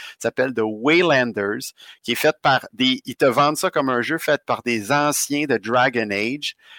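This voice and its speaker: A man's bright, sharp voice in a Quebec accent, medium in pitch with ordinary variation, fairly slow, with a dry, close sound and no echo. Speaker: podcast co-host, gamer. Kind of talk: casual chat.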